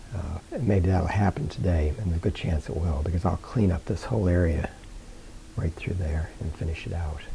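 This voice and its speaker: With noticeable background noise behind him, a man speaks at a very deep, low pitch and a fairly quick pace with ordinary pitch variation. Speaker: painter. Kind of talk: painting tutorial. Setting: studio. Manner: halting.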